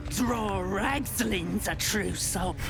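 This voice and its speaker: A put-on character voice against loud background noise. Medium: machinima. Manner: coarse, ungrammatical.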